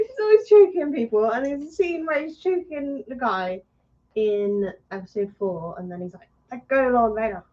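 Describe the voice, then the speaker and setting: A woman with a West Country accent speaks at a moderate pace in a high voice with a dark, mellow tone, very wide pitch swings and big swings in loudness. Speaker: podcast co-host. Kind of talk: casual chat.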